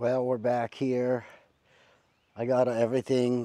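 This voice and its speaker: A man speaks at a very slow pace in a dark, mellow tone against a quiet background. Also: dry sound with no echo. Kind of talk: casual vlog chat. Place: garden. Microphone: lapel.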